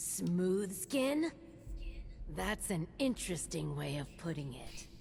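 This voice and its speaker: Someone performs a put-on character voice at a fairly slow pace over clear background noise. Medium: video game.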